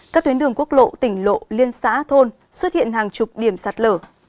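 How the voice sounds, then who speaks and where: A woman with a high pitch and ordinary pitch variation speaks at a moderate pace, the sound dry and close with no echo. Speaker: news anchor. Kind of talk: news reading. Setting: studio. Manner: formal.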